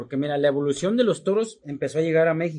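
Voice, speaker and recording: A man's fairly high voice, an ordinary speaking voice with lively intonation. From Mexico, Guadalajara, Jalisco. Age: 40s. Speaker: charro rider. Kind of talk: casual interview.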